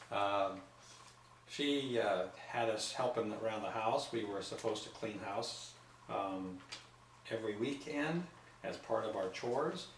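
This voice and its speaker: A medium-pitched man at a fairly slow pace, with long, frequent pauses, ordinary pitch variation, audible room echo and noticeable background noise. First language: not English. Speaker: grandfather being interviewed. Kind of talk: casual family interview.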